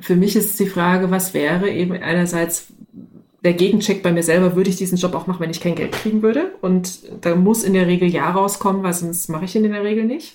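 A woman speaks at a moderate pace and medium pitch, her tone dark and mellow. Her intonation is fairly even, and the room echo is audible. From East Germany. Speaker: organisational development consultant. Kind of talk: casual chat.

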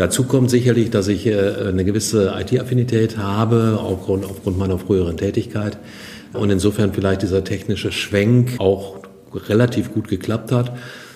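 Noticeable background noise sits behind a man speaking at a moderate pace. His pitch is fairly low, and his intonation stays fairly even. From Germany, western Münsterland (Kreis Borken). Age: 60s. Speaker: business association representative. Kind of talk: podcast interview.

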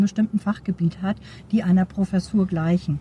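Her sound is dry and close, with no echo. A woman of medium pitch speaks at a fairly quick pace with ordinary pitch variation. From Schleswig-Holstein, Neumünster. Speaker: supervisory board member and professor. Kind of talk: interview. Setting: outdoors at a conference.

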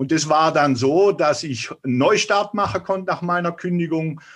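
Over a quiet background, a man with an ordinary speaking voice talks at a moderate pace and fairly high pitch, with ordinary pitch variation. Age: 50s. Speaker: author and health coach. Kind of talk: interview.

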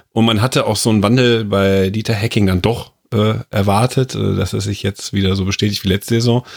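Speaking at a fairly quick pace, a man with a normal speaking voice and fairly low pitch shows ordinary pitch variation on a very clean recording with a silent background. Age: 30s. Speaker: football pundit. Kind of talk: casual football discussion.

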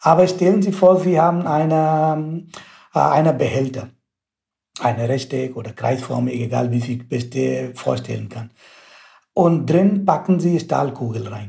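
In an Indian accent, a somewhat breathy voice with a dark, mellow tone speaks at a fairly slow pace with ordinary pitch variation. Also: man, medium pitch for a man. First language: Indian language (speaking German). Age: 30s. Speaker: mechanical engineering researcher. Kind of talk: interview. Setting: video call.

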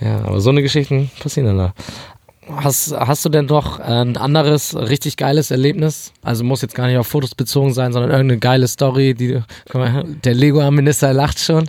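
Fairly even intonation marks a normal speaking voice that runs at a fairly quick pace. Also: man, medium pitch for a man. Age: 20s. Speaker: podcast host. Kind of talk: interview. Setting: studio.

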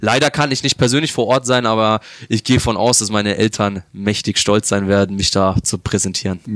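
A man speaks at a fairly quick pace with a fairly low pitch, ordinary pitch variation and very even loudness. The sound is dry and close, with no echo. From Germany, Upper Franconia (Bavaria). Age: 20s. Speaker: esports pro gamer. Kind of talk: interview. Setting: hotel lobby.

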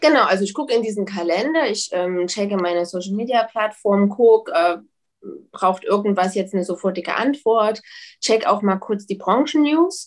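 A woman's ordinary speaking voice at a medium pitch, with ordinary pitch variation and a moderate pace, in a very clean recording over a silent background. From Leipzig, Saxony, Germany. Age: 30s. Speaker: publisher. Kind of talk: interview.

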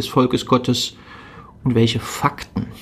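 A man talks at a fairly slow pace. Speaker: religious podcast host. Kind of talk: spiritual reflection.

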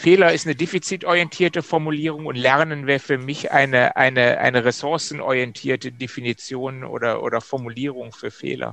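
In an ordinary speaking voice, a man with a fairly high pitch talks at a fairly quick pace, his pitch varying in an ordinary way. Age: 50s. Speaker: systemic coach, former managing director. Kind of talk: casual interview chat.

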